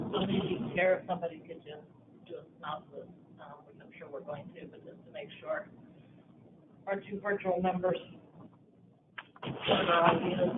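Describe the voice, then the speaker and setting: Quiet speech at a moderate pace with long, frequent pauses, over noticeable background noise. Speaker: committee member. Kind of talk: committee meeting discussion. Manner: quiet, hard to hear.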